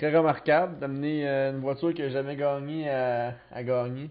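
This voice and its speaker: A man speaks in a normal speaking voice with a fairly high pitch. His pace is fairly slow and his intonation fairly even. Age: 20s. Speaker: podcast host. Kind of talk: casual chat.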